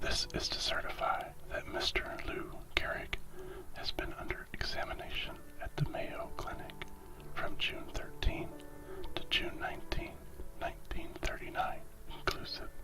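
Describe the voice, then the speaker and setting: Someone whispers at a moderate pace with long, frequent pauses. Noticeable background noise runs underneath. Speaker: ASMR content creator reading stories. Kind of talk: ASMR story reading, whispered relaxation. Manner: whispered, soft-spoken.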